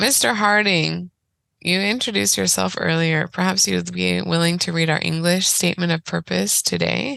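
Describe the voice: A woman's raspy, fairly low voice with vocal fry, a fairly bright tone and fairly even intonation. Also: moderate pace.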